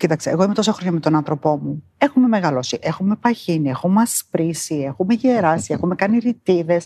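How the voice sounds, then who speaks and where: A woman in a normal speaking voice, fairly low in pitch, at a fairly quick pace with hardly any pauses, lively intonation, and a dry, close sound with no echo. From New Zealand, moved to Greece at 12. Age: 50s. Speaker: interviewee. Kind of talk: interview.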